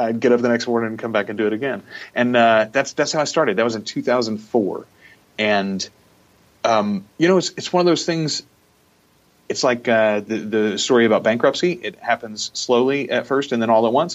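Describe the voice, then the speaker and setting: A man with a medium-pitched voice talks at a moderate pace with ordinary pitch variation. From US South, Louisiana. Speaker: radio host and voiceover artist. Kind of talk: casual interview chat. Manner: talkative.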